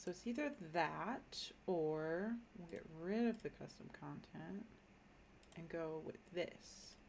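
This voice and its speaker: A woman speaks with an American accent at a fairly low pitch. Her pace is very slow. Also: lively intonation. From Minnesota, US. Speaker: gaming streamer. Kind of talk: casual live-stream commentary. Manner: casual, thinking aloud with fillers.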